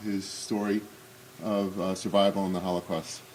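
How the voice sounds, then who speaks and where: There is noticeable background noise behind a man talking. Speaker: Holocaust remembrance speaker. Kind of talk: commemorative talk. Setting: synagogue hall with audience. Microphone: may be speaking without microphone.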